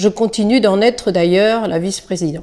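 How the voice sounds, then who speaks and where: Her tone is dark and mellow, with a fairly high pitch. This woman speaks at a moderate pace. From Île-de-France. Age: 60s. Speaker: retired schoolteacher and local election candidate. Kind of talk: prepared campaign statement.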